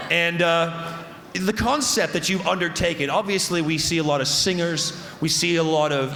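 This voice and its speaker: A man with a fairly high pitch talks at a moderate pace in an animated tone, with ordinary pitch variation. There is audible room echo and noticeable background noise. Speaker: festival stage host. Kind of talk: live stage hosting. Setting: stage with audience. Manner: loud.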